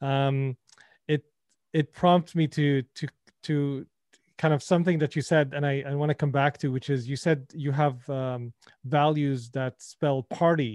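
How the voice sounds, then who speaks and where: A man speaks at a fairly slow pace and a fairly high pitch. His intonation is fairly even, and the background is quiet. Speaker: podcast host. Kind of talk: casual interview. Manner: halting, filler words.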